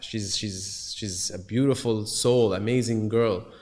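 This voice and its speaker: Against noticeable background noise and audible room echo, the voice moves at a fairly slow pace with fairly even intonation. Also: man. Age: 30s. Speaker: musician and entrepreneur. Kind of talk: casual conversation. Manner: halting, many fillers and repetitions.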